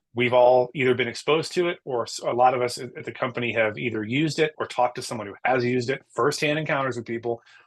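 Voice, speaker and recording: Very fast speech in an American accent, with ordinary pitch variation, against a quiet background. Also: man. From US East Coast. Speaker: podcast host. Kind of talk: casual chat.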